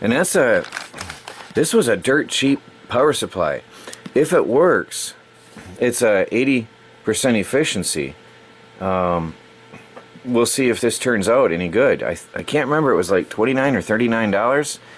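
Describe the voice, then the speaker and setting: A man speaks at a moderate pace with a medium pitch and lively intonation. Long, frequent pauses break up his speech over noticeable background noise. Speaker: electronics and crypto mining youtuber. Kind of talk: unboxing tutorial. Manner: halting, with fillers; casual.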